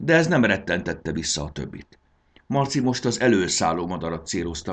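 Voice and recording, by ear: Someone reads aloud in a natural voice.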